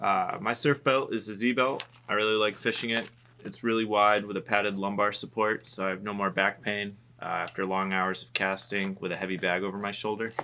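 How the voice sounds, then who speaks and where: A man's fairly low voice in a bright, sharp tone, fairly quick and fairly even in intonation, over light background noise. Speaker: shop staff gear reviewer. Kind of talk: product walkthrough. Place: shop. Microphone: camera far.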